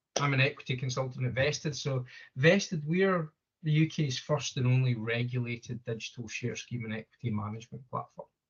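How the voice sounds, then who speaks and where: A somewhat breathy man at a fairly quick pace, with ordinary pitch variation. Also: medium pitch for a man. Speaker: equity consultant. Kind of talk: business presentation.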